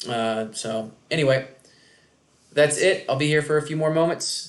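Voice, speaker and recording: Over audible room echo, a man talks at a fairly quick pace with fairly even intonation. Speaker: economics instructor. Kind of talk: lecture. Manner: loud.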